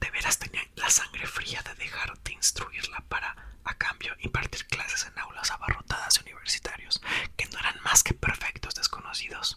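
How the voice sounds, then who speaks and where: Over noticeable background noise, a man whispers at a moderate pace. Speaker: YouTuber. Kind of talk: ASMR reading aloud; casual chat. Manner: whispering.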